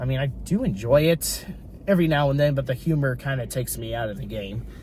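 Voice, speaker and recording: Intonation is lively as a man talks at a moderate pace. His pitch is fairly high. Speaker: YouTube commentator. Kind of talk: opinion monologue. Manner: animated.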